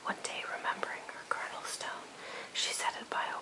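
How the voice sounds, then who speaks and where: Whispering at a moderate pace amid noticeable background noise. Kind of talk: poetry reading; ASMR relaxation reading. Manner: whispered.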